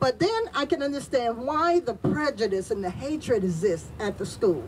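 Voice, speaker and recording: A woman talks at a fairly slow pace in a high pitch, her voice making very wide pitch swings over noticeable background noise. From Tampa, Florida (US South). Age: 60s. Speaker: community leader and activist. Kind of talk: speech at a press event.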